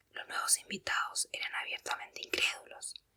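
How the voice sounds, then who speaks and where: Someone is whispering. The pace is moderate. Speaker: ASMR reader. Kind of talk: audiobook reading. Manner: whispered.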